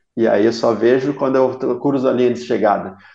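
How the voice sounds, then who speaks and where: At a moderate pace, a man talks in a dark, mellow tone at a medium pitch. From Blumenau, Santa Catarina, southern Brazil. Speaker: ultra-endurance triathlete. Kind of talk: interview conversation.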